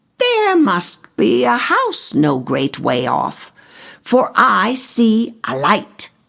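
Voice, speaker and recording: Speaking at a very slow pace, a female-sounding voice performs a put-on character voice. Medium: read story.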